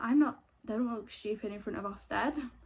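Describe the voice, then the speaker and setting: A woman with a Manchester accent speaks in a fairly high voice. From northern England, Greater Manchester. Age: 20s. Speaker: YouTuber, former reality TV participant. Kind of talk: casual get-ready-with-me chat. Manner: chatty, casual.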